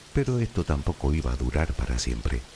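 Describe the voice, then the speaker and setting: Over noticeable background noise, a man with a very deep, low pitch speaks in a calm tone with ordinary pitch variation. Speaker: sleep story narrator. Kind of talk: sleep story. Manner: calm, slow.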